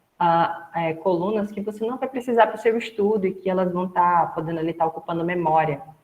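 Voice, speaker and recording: Using a plain, everyday voice, this woman keeps a medium pitch and ordinary pitch variation. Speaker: instructor. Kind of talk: lecture.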